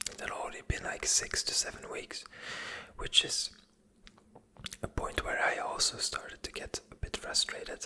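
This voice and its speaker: Whispering at a moderate pace, a woman leaves long, frequent pauses, her loudness swinging widely against noticeable background noise. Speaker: ASMR creator and web/website freelancer. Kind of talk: casual ASMR-style talk to camera about a business project. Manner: whispered, soft, with fillers and hesitations.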